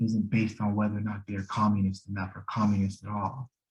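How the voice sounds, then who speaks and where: A man with an American accent speaks at a fairly quick pace. His voice is somewhat breathy and fairly low in pitch. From US Rust Belt. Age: 40s. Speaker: political educator. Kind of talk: lecture. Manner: halting, many fillers and restarts.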